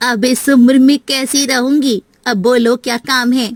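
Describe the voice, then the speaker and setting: Using a put-on character voice, a woman speaks high-pitched in a flat monotone, the sound dry and close with no echo. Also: moderate pace. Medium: audio drama. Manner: curt, grumbling.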